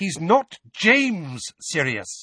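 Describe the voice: A man puts on a character voice, fairly high-pitched with a bright, sharp tone, a slightly husky edge, and big pitch swings. He speaks very slowly, and the sound is dry and close with no echo.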